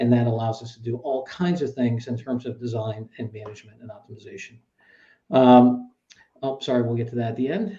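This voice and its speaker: A man's somewhat breathy, dark, mellow voice at medium pitch, with ordinary pitch variation, a fairly quick pace and big swings in loudness. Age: 60s. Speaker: interview host of business innovation series. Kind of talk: interview discussion. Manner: halting, many fillers.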